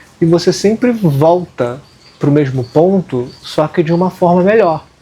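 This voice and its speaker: In a Carioca accent, a high-pitched man speaks at a fairly slow pace with ordinary pitch variation and very even loudness, over noticeable background noise. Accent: carioca Brazilian Portuguese. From Rio de Janeiro, Brazil. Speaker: occultism channel co-host. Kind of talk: casual discussion.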